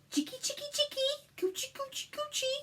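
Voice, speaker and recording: This put-on character voice is squeaky and extremely high in pitch, running at a fairly quick pace. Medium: read story. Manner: hearty, jokey.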